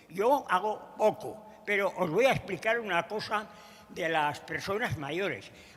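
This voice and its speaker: Fairly slow male speech, high in pitch, with ordinary changes in pitch. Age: 90s. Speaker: president of an emigrant community centre. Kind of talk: congress panel remarks. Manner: halting.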